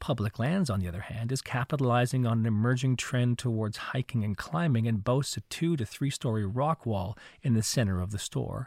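A man with a medium pitch and a plain, everyday voice talks at a fairly quick pace with hardly any pauses and ordinary pitch variation, in a very clean recording with a silent background and a dry, close sound with no echo. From Canada, Montreal. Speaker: podcast host. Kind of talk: scripted narration; interview.

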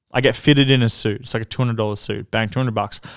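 A man with an Australian accent speaks in a flat monotone at medium pitch, captured in a very clean recording with a silent background. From Melbourne, Australia. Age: 30s. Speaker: club owner. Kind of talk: casual interview storytelling.

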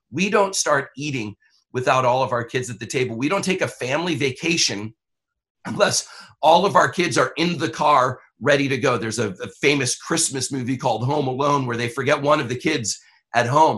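An unremarkable speaking voice, this man has a medium pitch, ordinary pitch variation, and an American accent against a quiet background. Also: fairly quick pace. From Brooklyn, New York. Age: 50s. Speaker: pastor. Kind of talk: interview conversation.

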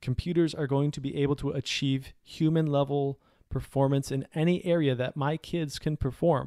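With an American accent and a normal speaking voice, a man talks at a moderate pace and a fairly high pitch with fairly even intonation. The sound is dry and close with no echo, in a very clean recording with a silent background. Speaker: podcast host, parent and former military journalist. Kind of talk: solo podcast monologue. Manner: clear enunciation, broadcast-trained.

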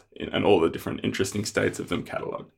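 A man is speaking. He has an Australian accent. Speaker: software developer. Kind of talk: casual interview.

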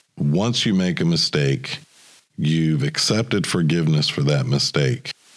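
Very deep and low in pitch, a man speaks with lively intonation. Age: 40s. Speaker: podcast host. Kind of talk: personal monologue podcast.

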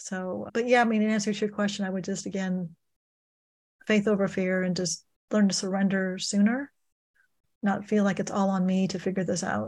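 A woman's somewhat breathy, medium-pitched voice, monotone and flat, at a moderate pace with long, frequent pauses, on a very clean recording with a silent background. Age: 60s. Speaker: financial coach and author. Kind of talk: interview. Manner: halting, with frequent repetitions.

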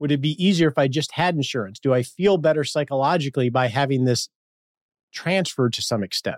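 With a normal speaking voice, a man talks at a fairly quick pace, his fairly high pitch showing ordinary variation. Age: 50s. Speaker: financial planner and podcast host. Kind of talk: interview.

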